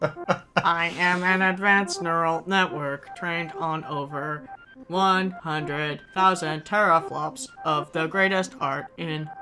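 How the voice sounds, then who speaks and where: A put-on, robotic character voice speaks in a deadpan tone at a middle pitch and a very slow pace. Faint music plays in the background. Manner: deadpan, put-on AI voice.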